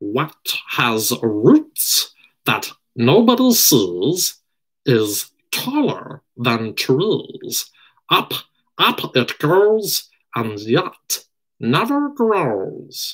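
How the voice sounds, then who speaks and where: A man's put-on character voice, high-pitched and hissing, at a very slow pace. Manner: hissing, riddling.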